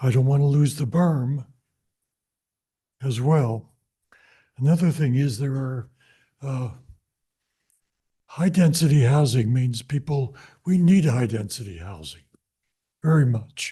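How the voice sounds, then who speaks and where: Fairly high in pitch for a man, this somewhat breathy voice has a dark, mellow tone and ordinary pitch variation at a fairly slow pace. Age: 80s+. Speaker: public commenter. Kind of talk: public comment at council meeting. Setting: city council meeting.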